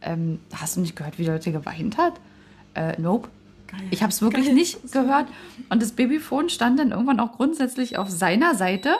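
A somewhat breathy woman's voice, fairly high in pitch, with very wide pitch swings, big shifts in loudness and a fairly quick pace. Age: 30s. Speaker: parenting podcast co-host. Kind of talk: casual chat.

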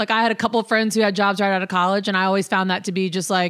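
A woman speaks at a medium pitch with an enthusiastic tone. The recording is very clean, with a silent background. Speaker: podcast host. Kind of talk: casual interview chat.

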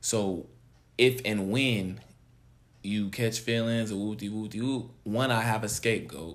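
A man with an American accent at a very slow pace, fairly low in pitch, with fairly even intonation and long, frequent pauses. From California. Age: 20s. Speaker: podcast guest co-host. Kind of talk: casual chat.

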